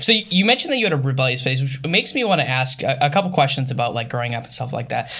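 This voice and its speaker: With an American accent, the speaker is heard over noticeable background noise. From Upper Michigan. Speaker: interviewer. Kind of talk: casual interview.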